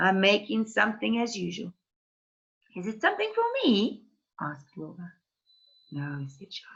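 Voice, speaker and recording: At a fairly slow pace, a woman speaks at a medium pitch that moves in very wide swings. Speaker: teacher. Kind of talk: read-aloud of a children's novel.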